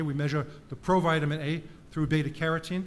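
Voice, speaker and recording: A man with a New York accent speaks at a fairly high pitch with fairly even intonation. The room echo is audible. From US, New York (Bronx). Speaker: professor. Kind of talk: conference talk. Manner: fast.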